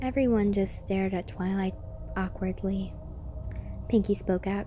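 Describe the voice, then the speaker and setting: There is music in the background. A woman speaks with ordinary pitch variation. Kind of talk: creepypasta reading with spooky narration voice. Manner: soft, ASMR-style.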